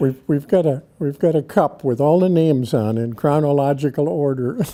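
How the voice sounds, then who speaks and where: A man's fairly high, dark and mellow voice in an American accent, with ordinary pitch variation at a moderate pace. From Wisconsin, US Midwest. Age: 90s. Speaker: local elder, army veteran. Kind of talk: oral history interview.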